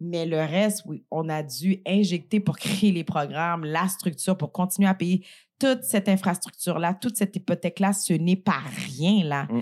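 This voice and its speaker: With a normal speaking voice, a woman talks at a moderate pace at a fairly low pitch, with ordinary pitch variation. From Montreal, Quebec (Saint-Michel, Montréal-Nord). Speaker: entrepreneur and business leader. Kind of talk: casual interview. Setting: studio, eating a meal during recording.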